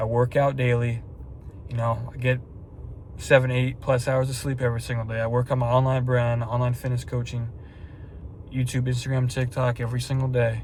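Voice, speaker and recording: Very fast and somewhat breathy, the voice keeps a monotone, flat intonation. Room echo is audible. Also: man. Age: 20s. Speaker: fitness vlogger and online coach. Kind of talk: casual vlog talk to camera. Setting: at night, about to drive to the store. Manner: rambling, repetitive.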